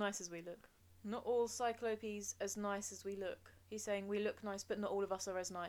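Intonation holds fairly even. It comes from a natural reading voice.

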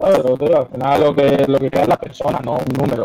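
At a fairly quick pace, a man talks in an unremarkable speaking voice. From Madrid, Spain (Parla). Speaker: freestyle rapper. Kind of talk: casual chat. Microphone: poor microphone sound.

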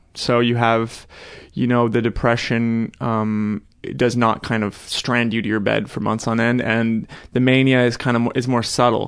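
Fairly slowly, a man talks at a medium pitch. His intonation is monotone and flat against a quiet background. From expat upbringing across Europe and South America. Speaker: podcast guest. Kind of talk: casual chat. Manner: halting.

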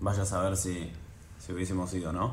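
A man's very deep, low, somewhat breathy voice carries audible room echo. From Argentina, Buenos Aires. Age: 20s. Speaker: professional tennis player. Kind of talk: casual interview.

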